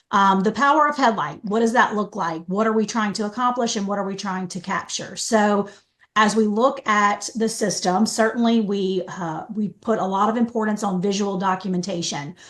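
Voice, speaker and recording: A woman speaks at a medium pitch. She leaves hardly any pauses. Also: ordinary pitch variation. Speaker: software trainer. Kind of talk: training webinar. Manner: fast.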